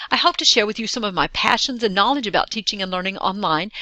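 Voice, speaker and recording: A woman with an American accent speaks at a fairly high pitch with ordinary pitch variation. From Texas. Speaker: online course facilitator, distance education director. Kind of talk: recorded course welcome video.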